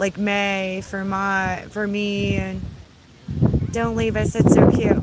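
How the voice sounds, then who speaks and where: There is audible room echo and noticeable background noise as a woman speaks at a very slow pace with long, frequent pauses. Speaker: YouTuber. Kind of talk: casual livestream chat.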